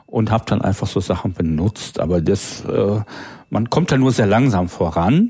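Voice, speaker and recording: Fairly low-pitched, a man with a plain, everyday voice keeps a moderate pace, ordinary pitch variation and very even loudness. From northern Germany (Low German area). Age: 40s. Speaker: freelance programmer and language enthusiast. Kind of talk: casual chat.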